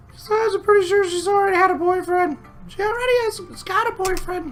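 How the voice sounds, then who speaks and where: A man's put-on, squeaky character voice at an extremely high pitch and a very fast pace, with clear music in the background. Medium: game stream. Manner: bright, upbeat.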